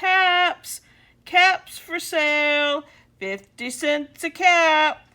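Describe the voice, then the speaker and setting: A woman's put-on character voice, extremely high-pitched, raised and projected, at a very slow pace on a very clean recording with a silent background. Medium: read story.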